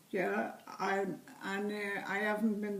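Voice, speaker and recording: In a Liverpool accent, a woman speaks at a very slow pace and medium pitch, with audible room echo. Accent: Liverpool (Scouse) English. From England, Liverpool. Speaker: interviewee, great-grandmother. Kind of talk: family interview.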